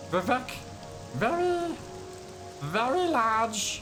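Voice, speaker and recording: A man puts on a character voice at an extremely high pitch. Loud music plays in the background. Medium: role play.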